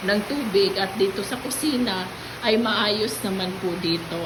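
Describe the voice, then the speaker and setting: Over noticeable background noise and audible room echo, a woman speaks fairly slowly with ordinary pitch variation. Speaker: vlogger. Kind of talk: casual vlog. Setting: at home.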